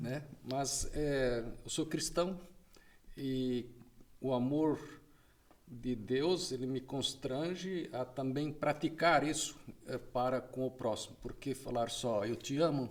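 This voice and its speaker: Pausing long and often, a man speaks very slowly in a medium-pitched voice with ordinary pitch variation. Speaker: drug policy association president. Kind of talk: podcast interview.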